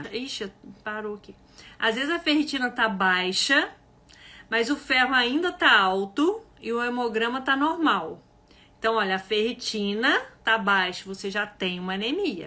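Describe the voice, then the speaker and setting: Her bright, sharp tone is animated, as a woman with a fairly high pitch speaks fairly slowly with lively intonation. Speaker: health educator. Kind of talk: live online class. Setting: livestream.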